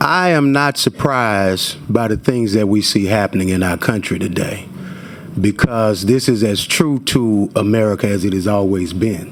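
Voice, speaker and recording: The speaker uses ordinary pitch variation at a moderate pace, with noticeable background noise behind the voice. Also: man, fairly low pitch for a man. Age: 40s. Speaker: activist. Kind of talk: testimony. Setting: legislative committee hearing. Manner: animated.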